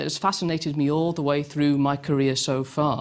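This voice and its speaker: A man in a British accent speaks at a fairly quick pace. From England (Derbyshire area). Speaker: professor. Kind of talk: lecture.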